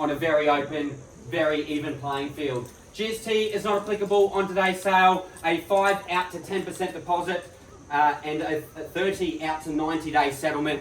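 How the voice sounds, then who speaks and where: Ordinary pitch variation and a moderate pace from a man, with noticeable background noise behind him. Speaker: real estate auctioneer. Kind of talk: property auction opening, formal spoken address to bidders. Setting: live on-site auction in front of a crowd.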